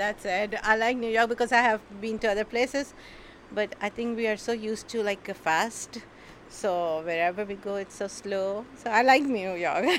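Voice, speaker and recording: A woman's fairly high voice at a moderate pace, with a Pakistani accent. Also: ordinary pitch variation. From Karachi, Pakistan. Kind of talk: casual interview. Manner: laughing often, halting.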